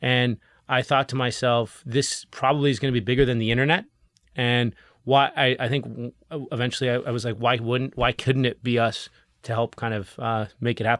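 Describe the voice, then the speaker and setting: At a fairly quick pace, a man speaks at a medium pitch in a monotone, flat intonation, captured in a very clean recording with a silent background. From Canada. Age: 30s. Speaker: legal tech startup CEO. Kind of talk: interview.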